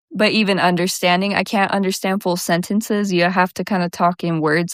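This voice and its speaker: At a moderate pace and in a relaxed tone, the voice comes through a very clean, dry, close recording with a silent background and no echo. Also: woman. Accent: American. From US Southwest. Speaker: podcast host. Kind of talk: casual chat. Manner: lazy, relaxed articulation; animated.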